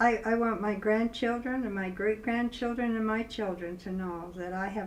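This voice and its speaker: In a Utah accent, a woman speaks at a fairly slow pace with fairly even intonation, and audible room echo surrounds her. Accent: Utah, western US. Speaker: grandmother recording personal history. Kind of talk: personal testimony interview. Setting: filmed interview. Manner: halting, with repetitions.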